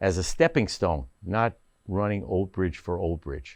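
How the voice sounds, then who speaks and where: Here a man speaks with a New Jersey accent and lively intonation. The background is quiet. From northern New Jersey (Paramus). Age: 70s. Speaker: council candidate, retired business owner. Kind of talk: candidate interview. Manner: halting, many fillers.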